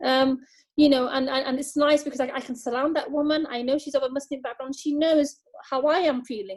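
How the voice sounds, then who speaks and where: A woman speaks at a fairly quick pace in a high pitch, with fairly even intonation and a British accent. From UK, British Bangladeshi. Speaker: charity staff member. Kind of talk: video call interview. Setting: video call. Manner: halting, many fillers and repetitions.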